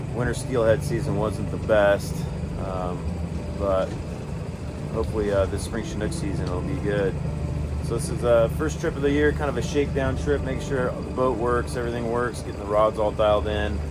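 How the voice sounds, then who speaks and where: A man keeps a moderate pace while loud background noise carries on around him. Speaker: fishing channel host. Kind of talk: casual vlog chat. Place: boat. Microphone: phone near.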